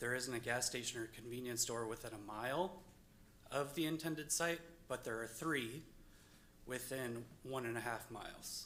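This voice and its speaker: Medium pitch from a man, bright and sharp in tone. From northern US. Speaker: resident speaking at public hearing. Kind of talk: public comment at zoning meeting. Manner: hesitant, with fillers.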